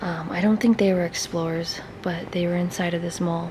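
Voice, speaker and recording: In a room with audible echo and noticeable background noise, a woman talks at a moderate pace with fairly low pitch. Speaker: urban explorer YouTuber. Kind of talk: casual vlog. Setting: inside abandoned mall.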